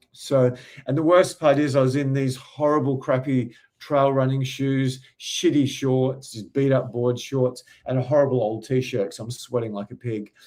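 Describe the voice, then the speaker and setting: This man talks at a moderate pace in an Australian accent. His pitch is medium and his intonation is fairly even. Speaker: dating coach. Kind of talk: casual storytelling.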